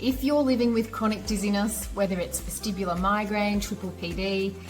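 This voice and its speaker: Music plays in the background. Over it, a woman talks at a moderate pace. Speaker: vestibular physiotherapist, dizziness recovery specialist. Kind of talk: channel intro to camera.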